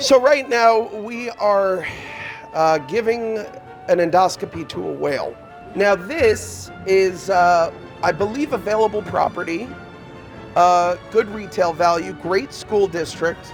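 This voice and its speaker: Music plays behind a man speaking at a high pitch with lively intonation. His pace is very slow. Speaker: actor. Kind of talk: comedic theme park guide spiel. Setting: outdoors.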